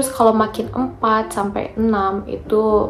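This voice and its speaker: Noticeable background noise and audible room echo surround a woman who speaks softly. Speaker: vocational trainee vlogger. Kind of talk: casual vlog talk. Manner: soft-spoken.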